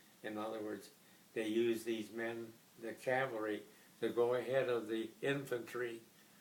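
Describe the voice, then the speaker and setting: At a fairly slow pace, the speaker's pitch varies in an ordinary way as noticeable background noise carries on. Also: man. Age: 80s+. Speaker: WWII veteran, retired Air Force officer. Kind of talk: interview answer. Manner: soft-spoken.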